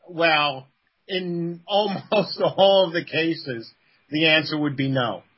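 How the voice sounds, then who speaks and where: Speaking very slowly with a New York accent, a man uses a fairly high pitch and ordinary pitch variation. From the Bronx, New York. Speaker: game company co-founder. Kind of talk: casual interview.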